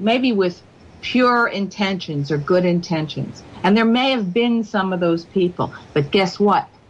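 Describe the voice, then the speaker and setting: A woman with an American accent speaks at a medium pitch, somewhat breathy, with lively intonation. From United States. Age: 60s. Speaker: radio show guest. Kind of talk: radio interview. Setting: radio show.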